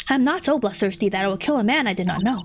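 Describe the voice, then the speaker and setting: A woman puts on a character voice at a medium pitch and talks very fast. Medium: virtual streamer. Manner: gruff, composed.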